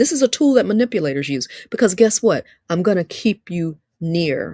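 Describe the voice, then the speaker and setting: A woman's fairly low voice at a moderate pace, animated in tone, with very wide pitch swings and a dry, close sound with no echo. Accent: Alabama. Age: 50s. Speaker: live-stream host and relationship speaker. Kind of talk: livestream talk, preaching style. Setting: livestream on social media. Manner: animated, repetitive.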